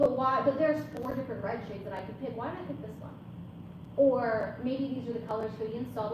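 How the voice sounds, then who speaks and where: A woman at a very fast pace, with a fairly high pitch, lively intonation and big swings in loudness, over noticeable background noise and audible room echo. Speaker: balloon business owner and content creator. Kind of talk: conference talk. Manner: casual, filler-heavy.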